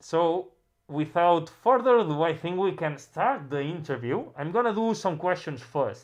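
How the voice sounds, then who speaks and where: The speaker talks at a fairly slow pace with a Catalan accent. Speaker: music producer livestream host. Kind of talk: casual livestream interview. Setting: livestream. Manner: halting, many repetitions.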